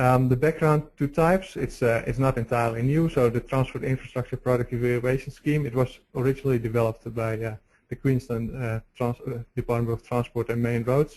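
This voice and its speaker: Barely pausing, a man with a Dutch accent speaks at a fairly quick pace in a somewhat breathy, medium-pitched voice with fairly even intonation. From Netherlands. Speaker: road engineering researcher. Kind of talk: webinar presentation. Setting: webinar. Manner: halting, many fillers.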